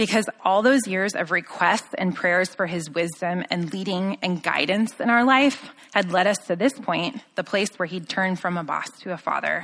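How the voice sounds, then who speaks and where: In a plain, everyday voice, a woman of medium pitch talks at a moderate pace with an American accent and ordinary pitch variation. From Southern California. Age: 30s. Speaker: churchgoer sharing testimony. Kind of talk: testimony. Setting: stage with audience.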